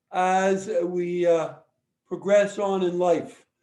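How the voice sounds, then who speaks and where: Audible room echo surrounds a man whose high-pitched voice has a dark, mellow tone and monotone, flat intonation. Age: 70s. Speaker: lawyer. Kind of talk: lecture.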